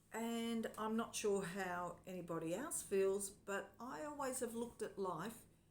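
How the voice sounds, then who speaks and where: In a room with audible echo, a woman speaks at medium pitch and a fairly slow pace, her intonation lively. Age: 60s. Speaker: vlogger. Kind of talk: personal vlog monologue. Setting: home lounge room.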